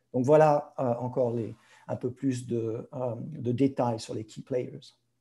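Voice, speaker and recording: Speaking very slowly, a man with a medium pitch has a dark, mellow, somewhat breathy tone. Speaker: pharma industry professional. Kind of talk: webinar presentation. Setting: video conference. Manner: halting, many hesitations; code-switching French and English.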